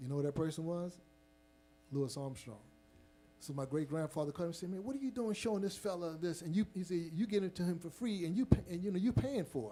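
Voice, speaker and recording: Very fast and lively in intonation, a man speaks in a high pitch. His tone is dark and mellow. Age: 50s. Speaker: jazz trumpet player. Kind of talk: audience Q&A, storytelling. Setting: stage with live audience in museum. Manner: halting, many fillers.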